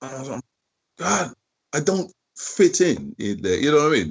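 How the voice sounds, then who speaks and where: A man with a British accent speaks at a moderate pace in a fairly high pitch, with vocal fry. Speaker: drummer. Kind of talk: interview. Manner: halting.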